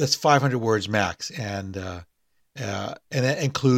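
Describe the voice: Someone does plain reading aloud with ordinary pitch variation against a quiet background.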